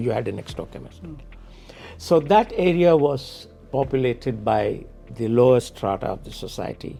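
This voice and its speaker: Music plays behind a man speaking at a moderate pace. His intonation is lively and his loudness swings widely. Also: medium pitch for a man. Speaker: podcast interviewer. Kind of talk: interview questions.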